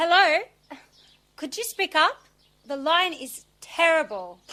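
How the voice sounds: Putting on a character voice, a woman speaks slowly at an extremely high pitch with big pitch swings and a bright, sharp tone.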